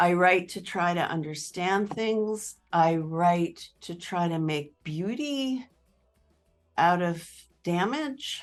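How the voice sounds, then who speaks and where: Over music in the background, a woman with an American accent speaks at a very slow pace, her fairly low pitch carried by lively intonation. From northern Appalachia, central Pennsylvania. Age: 60s. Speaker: poet and professor. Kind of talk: interview.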